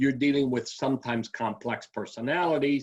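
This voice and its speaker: Ordinary pitch variation and a moderate pace mark an unremarkable speaking voice. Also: man. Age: 60s. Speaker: aviculturist. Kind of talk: interview.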